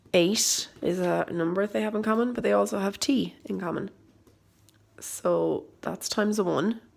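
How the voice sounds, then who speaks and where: A woman speaks at a moderate pace with an Irish accent. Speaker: maths teacher. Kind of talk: tutorial.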